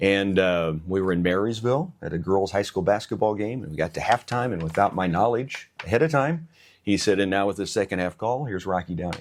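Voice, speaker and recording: With ordinary pitch variation, a man speaks fairly quickly in a fairly low pitch. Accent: Midwestern US. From Missouri. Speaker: radio station manager and sports announcer. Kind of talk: interview.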